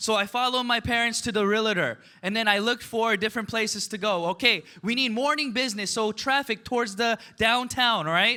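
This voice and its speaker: Using a raised, projected voice, a man with a high pitch sounds animated, his tone bright and sharp. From United States, Korean immigrant family. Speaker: network marketing business leader. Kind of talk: motivational seminar talk.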